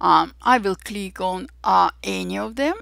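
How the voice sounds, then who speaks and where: A woman speaks with an Armenian accent. The recording is very clean, with a silent background. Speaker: digital artist and photographer. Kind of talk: software tutorial.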